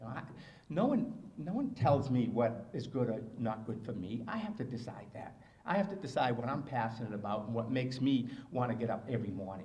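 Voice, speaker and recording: With audible room echo, a man with an American accent speaks fairly quickly at medium pitch and ordinary pitch variation. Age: 60s. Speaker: motivational speaker and marathon runner. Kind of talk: speech. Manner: animated.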